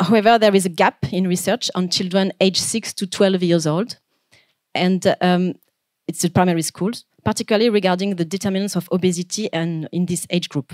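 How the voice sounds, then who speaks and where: With a French accent, a woman talks at a fairly quick pace with fairly even intonation in a dry, close sound with no echo. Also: medium pitch for a woman. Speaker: PhD researcher. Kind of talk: conference presentation. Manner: fast; hesitant, many fillers.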